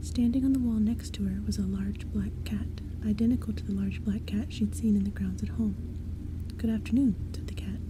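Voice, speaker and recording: A soft-spoken woman with a very deep, low pitch talks at a moderate pace with lively intonation over noticeable background noise. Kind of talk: bedtime story reading.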